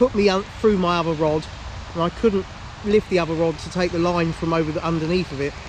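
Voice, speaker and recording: Noticeable background noise sits behind speech whose intonation holds fairly even. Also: man. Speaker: angler vlogger. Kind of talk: casual vlog to camera. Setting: outdoors by a lake. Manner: loud.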